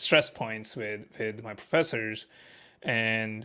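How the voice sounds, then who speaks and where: In a very clean recording with a silent background, a man talks at a fairly slow pace with a medium pitch and a bright, sharp tone. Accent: non-native. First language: not English. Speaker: staff software engineer. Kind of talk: interview, casual chat. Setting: live stream. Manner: halting, many fillers.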